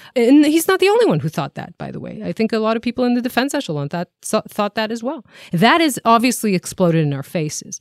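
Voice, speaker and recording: A woman with an Israeli accent speaks very fast at a fairly high pitch, her pitch swinging very widely and her loudness rising and falling sharply, in a dry, close recording with no echo, very clean and silent behind her. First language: Hebrew. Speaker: podcast co-host and TV journalist. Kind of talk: casual current-affairs discussion. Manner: frequent fillers, somewhat halting.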